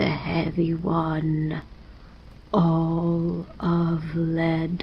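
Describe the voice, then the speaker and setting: A put-on character voice at a middle pitch against clear background noise. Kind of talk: gothic bedtime story. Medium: read story. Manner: low, ominous muttering.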